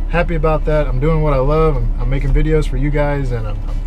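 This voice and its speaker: A man talks at a very fast pace while clear music plays in the background. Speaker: fishing vlogger. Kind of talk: casual vlog chat. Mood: reflective, grateful. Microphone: phone near.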